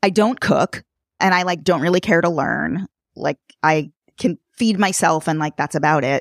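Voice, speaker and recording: In a dry, close sound with no echo on a very clean recording with a silent background, a woman with an unremarkable speaking voice and an American accent talks at a moderate pace, her fairly low pitch showing ordinary variation. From New York City. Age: 40s. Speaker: podcaster in design strategy. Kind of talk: casual chat.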